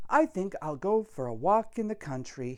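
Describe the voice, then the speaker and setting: A put-on character voice, female-sounding and middle-pitched, with very wide pitch swings at a moderate pace. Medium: read story. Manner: sing-song street cry.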